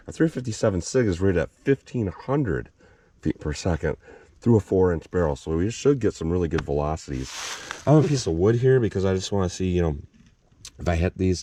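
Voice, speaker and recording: A man speaks in a very deep, low voice at a very fast pace. His pitch swings very widely. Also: dry, close sound with no echo. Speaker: firearms reviewer. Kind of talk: tutorial.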